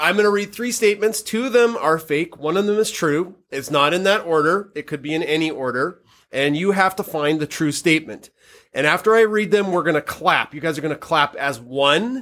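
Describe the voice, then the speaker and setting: Animated and lively in intonation, a man with a Canadian accent talks at a fairly quick pace and high pitch on a very clean recording with a silent background. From Canada. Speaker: podcast host and high school chemistry teacher. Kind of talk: casual chat; quiz game hosting for students.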